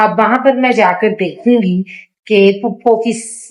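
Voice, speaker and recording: This is an unremarkable speaking voice. Its pitch varies in an ordinary way. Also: woman. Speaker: vlogger. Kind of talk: casual vlog talk to camera.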